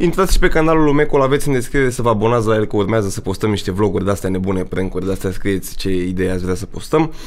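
Speaking at a very fast pace with hardly any pauses, a man uses lively intonation at a fairly low pitch. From Romania. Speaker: youtuber hosting his first podcast; podcast host or guest. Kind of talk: casual chat. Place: studio. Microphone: studio mic.

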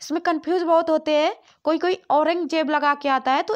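A woman's extremely high voice at a moderate pace against a quiet background. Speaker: quiz tutor for exam prep. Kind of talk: tutorial. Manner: repetitive quiz-style pacing.

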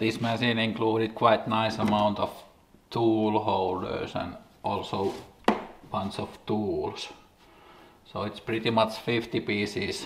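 A man speaks in a monotone with flat intonation at a very slow pace, leaving long, frequent pauses. Background noise is noticeable. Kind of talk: casual vlog chat. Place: workshop.

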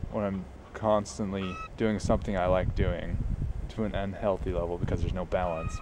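A man with a fairly low pitch talks at a moderate pace. The sound is dry with no echo, and background noise is noticeable. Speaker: vlogger. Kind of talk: casual vlog chat. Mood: reflective, musing. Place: open country. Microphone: phone near.

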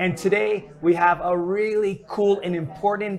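A man's fairly even intonation at a moderate pace.

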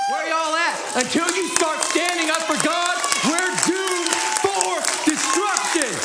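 Loud background noise fills the clip. A man speaks at a fairly slow pace. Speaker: preacher. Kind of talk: sermon. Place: church. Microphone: headset.

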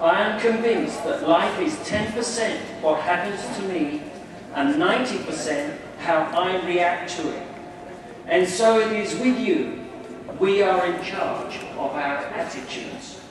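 Amid strong room echo and noticeable background noise, a man with a high pitch speaks at a fairly slow pace with lively intonation. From England. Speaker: new convert addressing a congregation. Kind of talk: speech to an audience. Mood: earnest, calm. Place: hall.

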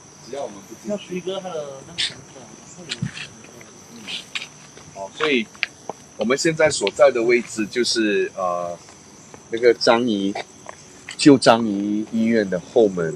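Pausing long and often, a man talks at a fairly slow pace with a medium pitch, lively intonation and big swings in loudness, over noticeable background noise. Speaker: paranormal storytelling show host, former police officer. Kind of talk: ghost storytelling live stream. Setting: outdoors at night, live stream. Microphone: poor reception.

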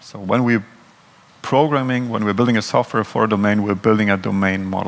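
A man's fairly low voice in a German accent, at a fairly quick pace with fairly even intonation. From Germany. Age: 30s. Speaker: software consultant. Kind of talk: conference talk. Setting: stage with audience. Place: hall. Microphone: headset.

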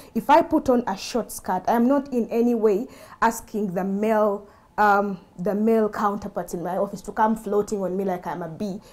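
A woman speaks at a moderate pace, her pitch varying in an ordinary way. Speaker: lawyer and human rights activist; lawyer. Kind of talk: panel discussion. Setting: studio. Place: studio. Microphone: lapel.

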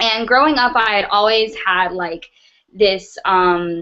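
At a fairly slow pace, a woman speaks with an American accent. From US South, North Carolina. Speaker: trafficking survivor and speaker. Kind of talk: testimony. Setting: video call. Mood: earnest, reflective. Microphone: webcam.

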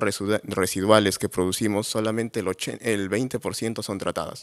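This man's voice sits at a fairly low pitch. His intonation is flat and monotone against a quiet background. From Peru, Cajamarca; Peru. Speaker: entrepreneur, agronomist; presenter. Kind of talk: award presentation talk. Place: hall. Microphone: podium.

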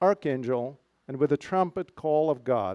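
Against a quiet background, the speech moves at a fairly slow pace with ordinary pitch variation. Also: man. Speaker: pastor. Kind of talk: memorial service address. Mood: somber, bittersweet remembrance. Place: garden. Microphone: handheld.

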